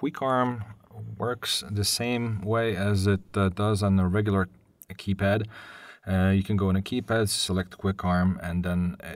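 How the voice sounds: At a fairly slow pace, a man speaks in a low voice.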